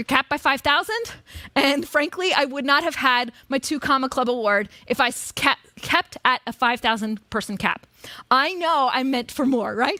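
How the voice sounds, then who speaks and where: A woman's high, raised and projected voice, animated, bright and sharp in tone, at a moderate pace with a dry, close sound and no echo. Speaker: marketing coach on stage. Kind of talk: live seminar presentation.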